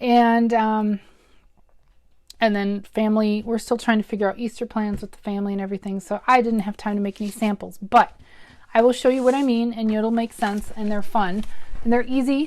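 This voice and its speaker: On a very clean recording with a silent background, a woman speaks in a fairly high pitch with monotone, flat intonation. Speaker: craft demonstrator. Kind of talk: live craft tutorial. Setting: livestream video from home. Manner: chatty, halting with many ums.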